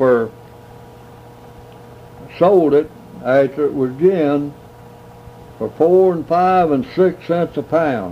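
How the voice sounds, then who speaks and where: Very slowly and with long, frequent pauses, a man with a Southern US accent speaks at a fairly high pitch. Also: ordinary pitch variation. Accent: rural Southern American. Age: 80s+. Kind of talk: interview answer.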